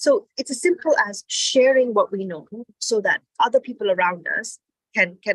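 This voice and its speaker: A woman speaks with lively intonation at a fairly high pitch. The sound is dry and close, with no echo. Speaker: entrepreneurship speaker. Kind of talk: motivational talk. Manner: fast.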